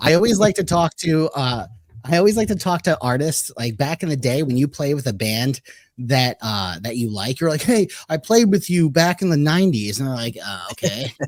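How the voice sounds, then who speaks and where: On a very clean recording with a silent background, a man with a fairly high voice speaks at a moderate pace in an animated tone with very wide pitch swings. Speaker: podcast host. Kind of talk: casual chat.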